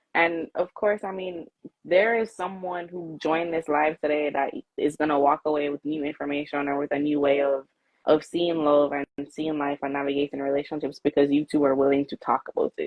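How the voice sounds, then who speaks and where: With a strong Jamaican accent, a woman speaks at a fairly quick pace, her very deep, low pitch held in fairly even intonation. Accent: Jamaican, came out strong. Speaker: live show host, interviewer. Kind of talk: casual live-stream interview.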